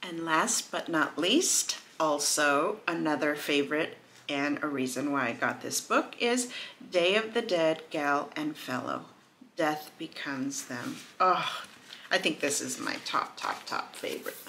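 Over light background noise, a woman with an American accent talks at a fairly slow pace with a very deep, low pitch and lively intonation. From California, US. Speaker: crochet YouTuber. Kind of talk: casual video review of a crochet book. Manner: animated. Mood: warm, enthusiastic. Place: home room.

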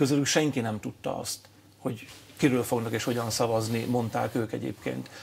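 A man talks at a fairly quick pace with vocal fry. His pitch moves with ordinary variation. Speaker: politician guest. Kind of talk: interview answer. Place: studio. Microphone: lapel.

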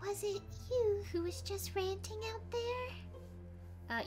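A put-on character voice at a very slow pace, under loud background noise. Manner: suspicious.

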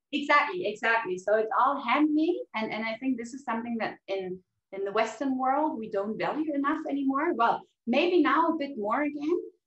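A woman with a high pitch and lively intonation speaks at a moderate pace, with audible room echo. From Germany. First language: German. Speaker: language teacher. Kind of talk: interview. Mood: warm, enthusiastic. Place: home room. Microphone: webcam.

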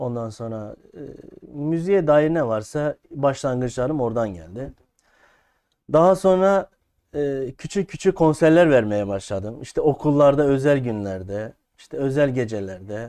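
Against a quiet background, a man with a dark, mellow tone speaks at a medium pitch with lively intonation. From Şanlıurfa, southeastern Turkey. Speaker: folk music singer. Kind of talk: interview. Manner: hesitant, many fillers.

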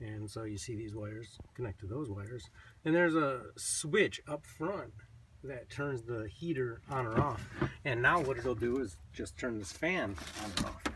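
The recording of this man is dry with no echo, and there is noticeable background noise. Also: moderate pace. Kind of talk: casual vlog chat. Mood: relaxed, a bit hurried. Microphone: phone near.

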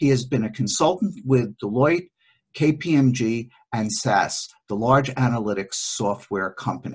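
A man's somewhat breathy voice at a moderate pace, lively in intonation, over a quiet background. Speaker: podcast host and business consultant. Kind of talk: interview. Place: home room. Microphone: earbuds.

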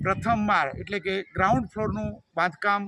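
A man talks in a raised, projected voice that sits high in pitch. His tone is bright and sharp. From North Gujarat, India. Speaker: engineer, construction committee chairman. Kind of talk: on-site interview statement. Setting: outdoors at construction site.

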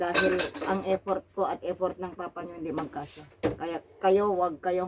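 Over noticeable background noise, a woman speaks at a moderate pace in a medium pitch, her intonation monotone and flat. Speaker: OFW domestic worker. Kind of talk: casual chat. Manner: loud.

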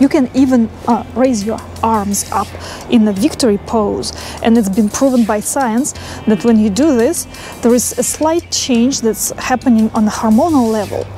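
A woman speaks with ordinary pitch variation. Music plays behind her, and the sound is dry with no echo. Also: moderate pace. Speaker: brainstorming coach. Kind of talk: guided visualization. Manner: calm, gentle. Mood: calm, encouraging. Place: garden. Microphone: lapel.

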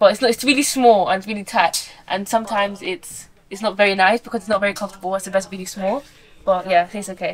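Her intonation fairly even, a woman speaks at a very fast pace. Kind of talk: casual piece to camera. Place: boat.

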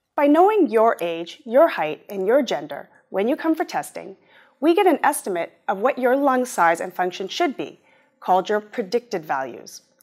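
A woman speaks at a fairly high pitch with very wide pitch swings. The background is quiet. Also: moderate pace. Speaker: pulmonary function technologist. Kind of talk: educational presentation. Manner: formal. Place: studio. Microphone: lapel.

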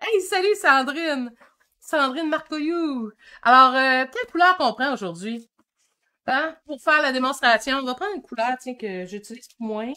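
A raised, projected, bright and sharp voice in a Quebec accent, animated and with lively intonation, big swings in loudness and a fairly slow pace over a quiet background. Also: woman, high pitch for a woman. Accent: Québécois French. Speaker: painting teacher. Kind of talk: live-stream painting tutorial. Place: home room. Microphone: webcam.

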